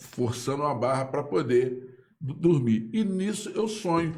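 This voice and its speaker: Amid audible room echo, a man with a fairly high pitch speaks fairly slowly in a dark, mellow, somewhat breathy tone. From Brazil, Pau Grande (Magé, Rio de Janeiro state). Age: 60s. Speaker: local writer and political commentator. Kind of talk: casual live interview. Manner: halting, repetitive.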